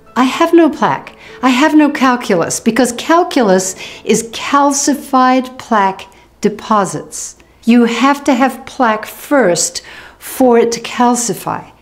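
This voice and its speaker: Faint music plays in the background as a woman speaks fairly slowly at a high pitch. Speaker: dental health educator. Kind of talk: educational explainer to camera. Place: home room.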